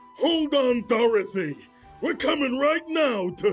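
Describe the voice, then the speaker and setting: Over faint background music, a man performs a put-on character voice pitched extremely high. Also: fairly slow pace. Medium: fan dub. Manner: hesitant.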